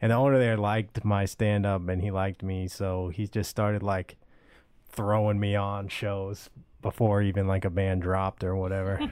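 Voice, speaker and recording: A man with an American accent speaks at a fairly low pitch and a moderate pace. His intonation is monotone and flat, in a very clean recording with a silent background. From US South, Georgia (Marietta). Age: 20s. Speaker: stand-up comedian. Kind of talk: casual chat.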